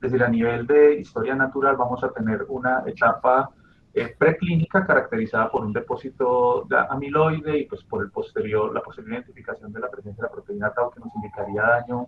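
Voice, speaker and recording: A man talks at a fairly quick pace, his loudness swinging widely. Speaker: doctoral student presenting a paper. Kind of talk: academic presentation. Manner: hesitant, many fillers; fast.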